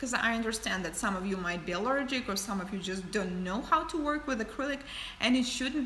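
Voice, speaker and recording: With a non-native accent, a woman speaks at a fairly high pitch with lively intonation, amid noticeable background noise and audible room echo. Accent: foreign. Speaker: nail artist and educator. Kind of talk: livestream tutorial and Q&A. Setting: livestream. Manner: casual, some hesitations.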